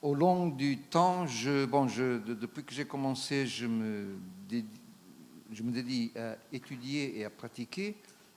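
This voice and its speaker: A man's medium-pitched voice with a non-native accent and ordinary pitch variation, at a very slow pace. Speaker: traditional Chinese medicine practitioner. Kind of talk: conference talk. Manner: halting, many hesitations.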